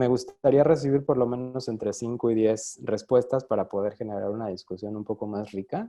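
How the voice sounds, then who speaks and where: Speaking at a fairly quick pace with hardly any pauses, a man uses a medium pitch, ordinary pitch variation and a dark, mellow tone. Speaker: design researcher, speaker. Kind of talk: online talk / lecture. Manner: fast.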